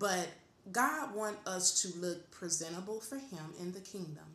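A woman talks fairly slowly, and the room's echo can clearly be heard. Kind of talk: casual faith talk, exhortation. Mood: calm, earnest, encouraging. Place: home room. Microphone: webcam.

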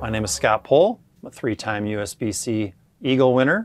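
A man at a moderate pace with ordinary pitch variation, the sound dry with no echo. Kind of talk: tutorial. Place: shop. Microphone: lapel.

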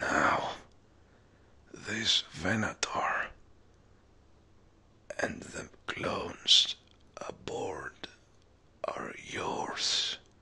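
The voice is raspy and the pace very slow. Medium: audio drama. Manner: calm, solemn.

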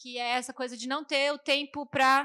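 Against a quiet background, a woman talks at a moderate pace in a high-pitched, bright, sharp tone. Her intonation is fairly even. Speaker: agronomist and movement coordinator. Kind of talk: panel debate. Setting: stage with live audience. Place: stage. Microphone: handheld.

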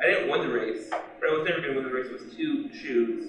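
Strong room echo surrounds a man speaking at a fairly quick pace. His medium pitch carries a fairly bright tone and ordinary pitch variation.

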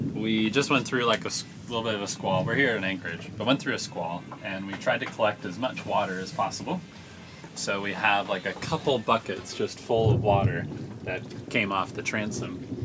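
Noticeable background noise behind a man's moderate-paced speech, its pitch varying in an ordinary way. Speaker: sailing vlogger. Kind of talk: casual vlog chat. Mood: relaxed, cheerful. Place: boat. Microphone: phone near.

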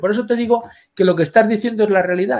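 A high-pitched man talking very fast over a quiet background. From Spain. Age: 60s. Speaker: history professor. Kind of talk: interview. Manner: halting. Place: home room.

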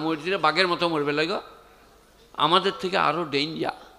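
A man speaks with a high pitch. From West Bengal, India. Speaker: Islamic preacher. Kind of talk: sermon. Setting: stage with audience. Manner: animated. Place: stage. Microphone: handheld.

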